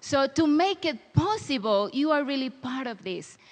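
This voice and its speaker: Her pitch high and swinging very widely, a woman speaks at a fairly slow pace with a Spanish accent. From Dominican Republic. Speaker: missionary. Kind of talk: church talk. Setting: church with audience.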